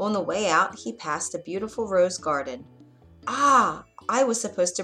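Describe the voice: Someone reads aloud plainly. Their intonation is lively.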